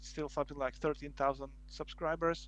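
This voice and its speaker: A man speaks with a non-native accent. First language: Slovak. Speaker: board game video creator. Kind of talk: casual interview. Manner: halting, many fillers and restarts.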